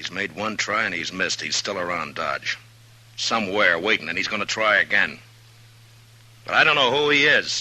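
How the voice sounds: A man puts on a character voice, low in pitch, with a bright, sharp tone. He speaks at a moderate pace with lively intonation.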